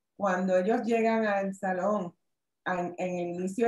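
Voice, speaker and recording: A woman speaks at a fairly slow pace with fairly even intonation. The background is quiet, though room echo is audible. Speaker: workshop presenter, lawyer; presenter, lawyer. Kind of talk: online workshop presentation. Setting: video call. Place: home room. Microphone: webcam.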